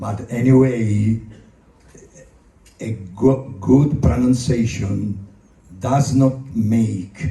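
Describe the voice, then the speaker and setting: Speech comes at a very slow pace with long, frequent pauses, in a non-native accent. Audible room echo surrounds it. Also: man. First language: Italian. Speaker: actor. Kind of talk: convention stage talk. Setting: stage with audience. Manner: halting.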